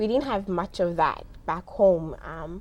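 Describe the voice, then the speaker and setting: A woman speaks in a Somali accent at a medium pitch. The background is quiet. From South Africa. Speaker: immigrant guest. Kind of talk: interview. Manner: many hesitations (um).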